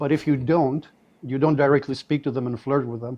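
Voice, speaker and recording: This man talks at a fairly quick pace. He has a non-native accent. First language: not English. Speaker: caller on live debate stream. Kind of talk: debate.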